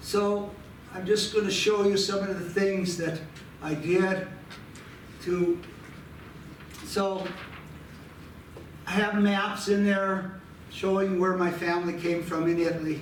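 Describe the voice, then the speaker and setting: A man speaks in a high voice at a very slow pace, with long, frequent pauses and a flat, monotone delivery. Noticeable background noise and audible room echo fill the recording. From Butte, Montana, US. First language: Italian. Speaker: archives volunteer, amateur family historian. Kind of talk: presentation. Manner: halting.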